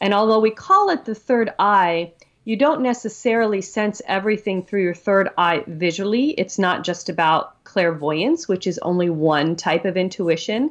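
A woman with a normal speaking voice and a medium pitch talks at a moderate pace. Her intonation is lively, and she takes hardly any pauses. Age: 50s. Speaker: author on chakra healing. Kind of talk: interview.

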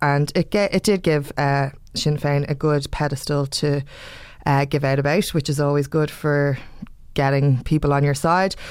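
With an Irish accent, a woman speaks at a moderate pace in a very deep, low pitch, her loudness very even on a very clean recording with a silent background. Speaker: podcast host. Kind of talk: casual chat. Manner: animated.

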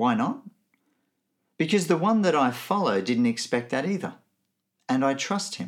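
Speaking with an Australian accent, a man at a fairly high pitch keeps a moderate pace, with very wide pitch swings and long, frequent pauses. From Nigeria and Benin, then Melbourne as a teenager. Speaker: theology lecturer. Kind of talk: recorded teaching talk.

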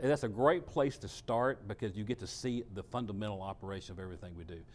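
A man with a Texan accent talks at a very fast pace with hardly any pauses, at medium pitch. His intonation is lively, and his loudness swings widely. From Texas, Dallas area. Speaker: food pantry director and former minister. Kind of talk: interview.

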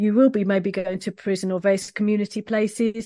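A woman's dark, mellow voice in a London accent, medium in pitch, monotone and flat, fairly quick, over a quiet background. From East London, England. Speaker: professional oboist. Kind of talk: interview conversation. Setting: video call.

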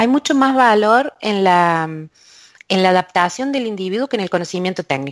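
A woman speaks at a medium pitch with lively intonation, and the sound is dry and close with no echo. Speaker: university lecturer and researcher in language technology. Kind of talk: interview. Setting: remote call from a closed office booth.

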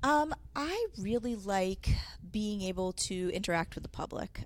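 Speaking at a fairly slow pace, a woman is heard on a very clean recording with a silent background. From Connecticut (Manchester). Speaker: television producer, media center director. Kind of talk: casual interview. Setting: studio. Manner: hesitant, many fillers.

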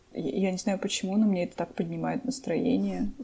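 A woman speaks at a fairly slow pace with vocal fry and a dark, mellow tone. Her pitch varies in an ordinary way. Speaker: podcast co-host. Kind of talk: casual chat.

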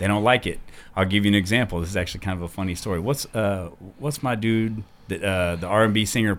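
Very fast and fairly low-pitched, a man with an American accent speaks with ordinary pitch variation on a very clean recording with a silent background. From US Midwest. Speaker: DJ. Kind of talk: interview.

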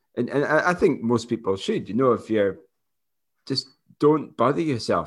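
With a Scottish accent, a man talks at a moderate pace with lively intonation and long, frequent pauses. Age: 30s. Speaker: running podcast co-host. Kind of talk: casual chat. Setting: remote call.

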